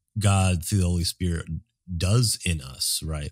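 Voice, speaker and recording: On a very clean recording with a silent background and a dry, close sound with no echo, a man speaks in a somewhat breathy, very deep, low voice at a moderate pace with ordinary pitch variation. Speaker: podcast co-host. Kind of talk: casual theological conversation.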